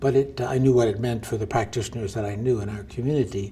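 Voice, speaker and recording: A very fast, somewhat breathy man's voice, dark and mellow in tone, at medium pitch. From US Northeast, New Jersey. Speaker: physician and medical researcher. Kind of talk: interview. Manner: halting.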